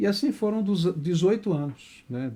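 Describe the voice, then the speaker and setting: A man's dark, mellow voice is heard on a very clean recording against a silent background. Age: 60s. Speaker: pastor and author. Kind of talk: interview. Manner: halting.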